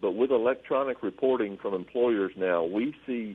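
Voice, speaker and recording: At a moderate pace, a man with a plain, everyday voice speaks with ordinary pitch variation. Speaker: government agency regional manager. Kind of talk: call-in radio Q&A. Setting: radio studio.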